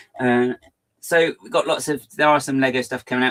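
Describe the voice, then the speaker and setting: A man with a medium-pitched voice and an English accent speaks at a fairly quick pace. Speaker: LEGO fan livestream host. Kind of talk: casual livestream chat. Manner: fast; animated.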